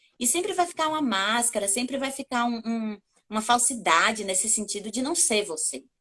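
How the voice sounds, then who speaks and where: A woman with a Bahian accent speaks at a fairly high pitch. Her intonation is lively. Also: moderate pace. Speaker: communication coach and journalist. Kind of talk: interview.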